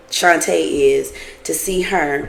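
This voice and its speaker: A woman's voice amid noticeable background noise. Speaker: TV show reviewer. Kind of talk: casual review monologue. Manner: slow.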